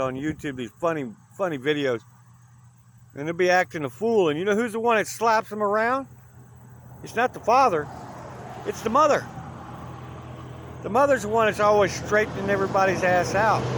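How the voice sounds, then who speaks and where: Loud and high-pitched, a man talks at a fairly quick pace. He leaves long, frequent pauses. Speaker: hitchhiking vlogger. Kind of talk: casual vlog monologue. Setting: outdoors by the highway.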